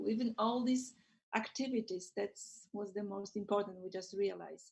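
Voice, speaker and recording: A woman speaks at a fairly slow pace with a Polish accent, her voice somewhat breathy. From Poland. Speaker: school librarian. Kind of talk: casual chat.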